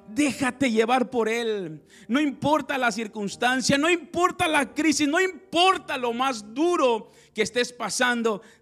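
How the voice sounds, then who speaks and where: Extremely high in pitch, a man's voice has a bright, sharp tone and an animated delivery. His intonation is lively while his pace stays fairly slow. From Mexico, Zacatecas and Piedras Negras. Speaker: pastor. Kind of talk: sermon.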